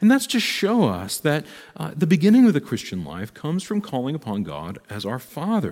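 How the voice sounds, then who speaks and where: The recording is very clean, with a silent background. A man with a dark, mellow tone speaks at a moderate pace, his pitch swinging very widely. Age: 40s. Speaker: priest. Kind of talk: lecture. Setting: recorded live stream. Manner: casual, many filler words.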